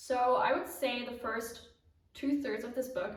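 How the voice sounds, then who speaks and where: With fairly even intonation, a woman speaks at a very slow pace, and audible room echo can be heard. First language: not English. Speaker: knitting podcaster. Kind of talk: casual vlog chat.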